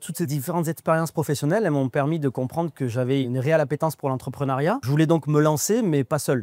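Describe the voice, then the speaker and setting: Very fast speech from a man with a dark, mellow tone and ordinary pitch variation. The sound is dry and close, with no echo. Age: 30s. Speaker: franchise owner, former plumber. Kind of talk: testimonial interview.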